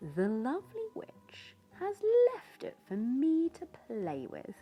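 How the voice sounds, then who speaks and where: A female-sounding, put-on character voice speaks at a fairly slow pace over music in the background. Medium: read story.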